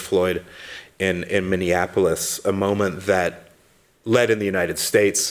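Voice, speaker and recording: Fairly slow speech from a man in an American accent. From London, England (American family). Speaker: academic researcher. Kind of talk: conference talk. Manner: halting, many fillers and repeats.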